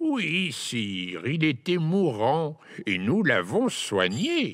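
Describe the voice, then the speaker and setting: A man's put-on character voice, fairly high in pitch, with very wide pitch swings and a very slow pace. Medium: read story. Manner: ingratiating, nervous.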